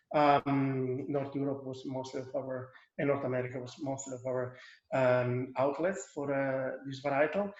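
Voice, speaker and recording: Moderate pace and fairly even intonation, with big swings in loudness and an Italian accent. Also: man, medium pitch for a man. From northeast Italy, Friuli. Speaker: winemaker. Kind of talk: wine tasting presentation. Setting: video call. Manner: halting, many repetitions.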